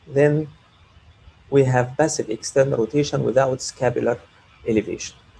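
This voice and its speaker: Speaking at a moderate pace with long, frequent pauses, the man has a medium pitch, fairly even intonation and a somewhat breathy sound. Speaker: orthopaedic surgeon. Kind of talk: lecture.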